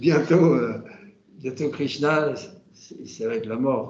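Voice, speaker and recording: Very slowly, a man of medium pitch speaks with ordinary pitch variation amid audible room echo and noticeable background noise. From France, Normandy. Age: 70s. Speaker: Hare Krishna devotee. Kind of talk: casual conversation. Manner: halting, many hesitations.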